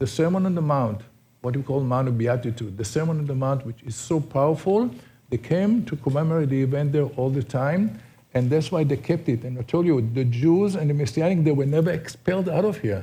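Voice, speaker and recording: In an Israeli accent, a man with a fairly high pitch and a dark, mellow, somewhat breathy tone talks at a fairly quick pace with lively intonation. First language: Hebrew. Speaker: tour guide. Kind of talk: guided tour talk. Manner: halting.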